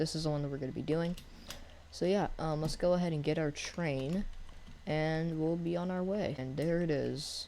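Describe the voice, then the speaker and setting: With audible room echo around him, a man speaks in a dark, mellow tone at a fairly high pitch for a man, keeping his intonation fairly even. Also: moderate pace. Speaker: gaming youtuber. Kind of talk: gameplay commentary. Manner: casual, hesitant with fillers.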